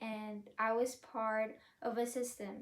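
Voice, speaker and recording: A woman with a high pitch. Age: 20s. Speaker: college student. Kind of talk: prepared speech.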